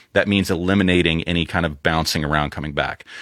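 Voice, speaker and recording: The man's voice sounds dry and close, with no echo. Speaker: audio engineer. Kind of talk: casual chat.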